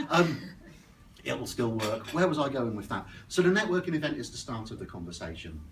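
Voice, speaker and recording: A man with an Oxfordshire accent at medium pitch, fairly quick, with very wide pitch swings, big swings in loudness and audible room echo. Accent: West Oxfordshire. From West Oxfordshire, southern England. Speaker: business networking speaker. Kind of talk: presentation talk. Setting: stage with audience at networking breakfast.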